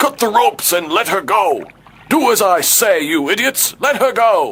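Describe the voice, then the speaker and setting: At a moderate pace, a man performs a put-on character voice with a high pitch. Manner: commanding, imitated voice.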